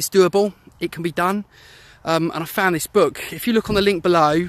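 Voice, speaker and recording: A man's high-pitched voice with a British accent. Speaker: former anxiety sufferer and website founder. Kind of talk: personal testimony. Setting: outdoors, walking. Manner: fast.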